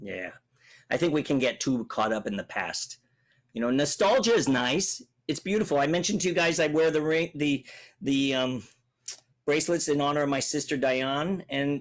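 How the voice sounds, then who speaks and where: Delivered at a moderate pace, the speech has an energetic tone and lively intonation broken by long, frequent pauses. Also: man, fairly high pitch for a man. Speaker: public speaking coach. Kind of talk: Q&A talk to children. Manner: clear articulate; energetic, varied pace.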